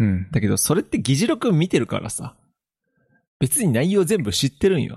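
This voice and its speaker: This man's fairly high voice has vocal fry and very wide pitch swings, moving at a moderate pace in a dry, close sound with no echo. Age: 20s. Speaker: podcast co-host. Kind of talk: casual chat.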